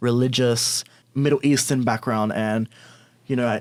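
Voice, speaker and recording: Monotone, flat intonation in an Australian accent. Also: man. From Australia, Sydney (Bankstown). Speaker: LGBTQ+ influencer. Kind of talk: podcast interview.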